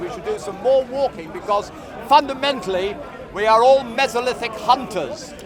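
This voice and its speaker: A man talks at a moderate pace with an extremely high pitch and ordinary pitch variation. Noticeable background noise sits behind him. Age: 60s. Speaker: public speaker in a debate. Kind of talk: open-air street debate.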